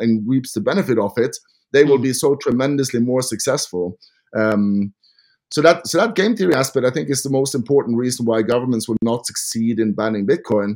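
Fairly quick male speech at a medium pitch, varying in an ordinary way. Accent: Norwegian. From Norway. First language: Norwegian. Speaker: podcast host. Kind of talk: casual interview. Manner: animated.

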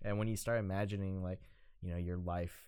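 A man speaks with a very deep, low pitch. His voice carries ordinary pitch variation. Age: 20s. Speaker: podcast co-host, photographer. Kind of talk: casual chat.

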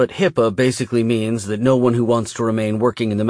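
Fairly even intonation marks someone reading aloud in a natural voice.

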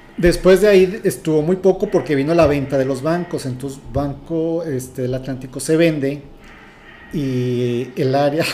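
At a moderate pace, a man uses an ordinary speaking voice, fairly high in pitch with ordinary pitch variation. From Mexico City. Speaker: former bank HR trainer, finance guest. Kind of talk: casual interview.

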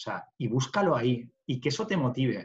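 His intonation is lively and his pitch medium. The man's voice has a somewhat breathy quality. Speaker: construction business owner. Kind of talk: interview conversation.

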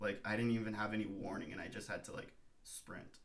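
With audible room echo, a man speaks at a fairly quick pace and fairly low pitch in a monotone, flat intonation. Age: 20s. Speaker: surfer and photographer. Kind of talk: casual chat.

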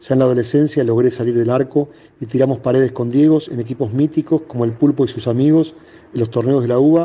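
Speaking at a fairly quick pace, a man has an unremarkable speaking voice, medium pitch and fairly even intonation. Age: 50s. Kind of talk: reading aloud.

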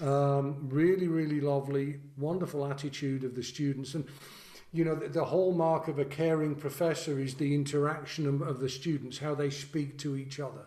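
The speaker talks at a fairly quick pace in a dark, mellow tone. The intonation is monotone and flat, with audible room echo. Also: man, fairly high pitch for a man. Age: 50s. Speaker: trombonist and podcast host. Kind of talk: casual interview conversation. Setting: video call.

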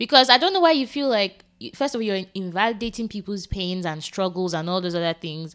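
With an unremarkable speaking voice at medium pitch, a woman talks at a fairly quick pace with lively intonation on a very clean recording with a silent background. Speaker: podcast co-host. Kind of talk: casual chat.

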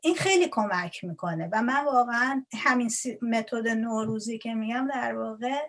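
A woman with a fairly high voice and lively intonation, speaking at a moderate pace with hardly any pauses over noticeable background noise. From Iran. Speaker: Persian language lecturer. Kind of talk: interview. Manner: halting.

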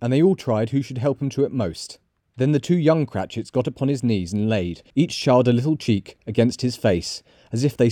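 Over a quiet background, someone does plain reading aloud, the pitch varying in an ordinary way.

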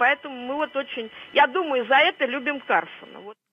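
High in pitch, a woman talks at a moderate pace. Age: old. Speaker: caller. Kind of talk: phone-in call. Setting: phone call. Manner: halting.

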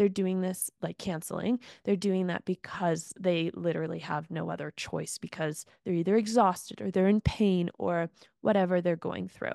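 In a dry, close recording with no echo and a quiet background, a woman speaks at a moderate pace with a fairly low pitch and a dark, mellow tone. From Ontario, Canada. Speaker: podcast host. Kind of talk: casual interview chat. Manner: warm, enthusiastic, filler-heavy.

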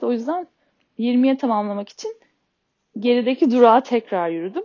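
A woman speaks with a high pitch and lively intonation. Her pace is fairly quick. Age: 30s. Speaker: podcaster with ADHD. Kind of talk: personal monologue. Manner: halting, many filler sounds.

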